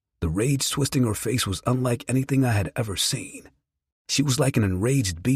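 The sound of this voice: Quiet surroundings frame the recording. The reading voice sounds unforced.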